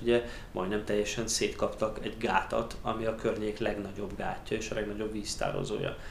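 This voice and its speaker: A man speaks at a moderate pace and a medium pitch, with audible room echo and noticeable background noise. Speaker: emigrant interviewee. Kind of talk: interview. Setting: studio table.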